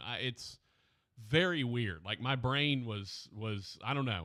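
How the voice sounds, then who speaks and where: A man talks at a fairly slow pace in a bright, sharp tone with vocal fry. The recording is very clean with a silent background. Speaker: radio talk show host. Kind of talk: casual chat. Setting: radio studio. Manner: slow, dragging.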